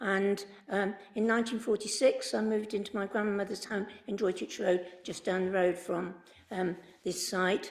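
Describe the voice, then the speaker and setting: A woman with a West Midlands accent talks at a moderate pace, her medium pitch carried on a fairly even intonation. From English Midlands, Worcester. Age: 80s+. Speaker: member of the public objecting to a planning application. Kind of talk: public statement at council meeting. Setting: council committee meeting. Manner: hesitant, many fillers.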